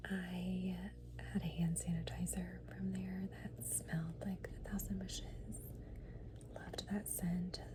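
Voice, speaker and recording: Over noticeable background noise, a soft-spoken voice talks at a very slow pace. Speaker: ASMR creator. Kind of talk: ASMR perfume collection talk.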